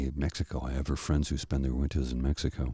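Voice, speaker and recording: A man speaks in a very deep, low pitch at a moderate pace, with monotone, flat intonation. His tone is soothing and calm, dark and mellow, and somewhat breathy. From Canada. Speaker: narrator. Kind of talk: casual talk to camera. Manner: soothing, calm.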